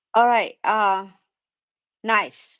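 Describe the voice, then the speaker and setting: In a strong Thai accent, a woman speaks with fairly even intonation on a very clean recording with a silent background. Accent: thick Thai. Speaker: live stream host. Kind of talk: casual chat. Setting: live audio room.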